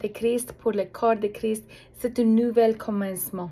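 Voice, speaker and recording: A woman speaks with a non-native accent at a fairly high pitch. Her tone is dark and mellow. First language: not French (French is her third language) (speaking French). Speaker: prayer ministry leader. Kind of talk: religious appeal message. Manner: halting, many hesitations.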